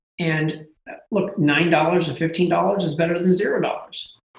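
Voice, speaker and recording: With audible room echo around him, a man speaks at a fairly high pitch and a fairly quick pace. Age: 40s. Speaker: domain investor and lead generation business owner. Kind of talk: casual interview.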